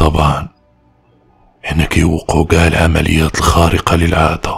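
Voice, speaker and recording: A man does a put-on character voice with a very deep, low pitch. Faint music plays in the background. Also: fairly slow pace. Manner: sly, calm.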